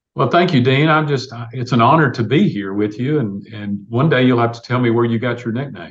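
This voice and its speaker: Someone with a Tennessee accent talks at a fairly quick pace. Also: man, medium pitch for a man, ordinary pitch variation. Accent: US Southern (Tennessee). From Tennessee, Clarksville. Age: 60s. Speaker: city mayor, university alumnus. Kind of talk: podcast interview. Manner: conversational, filler-heavy.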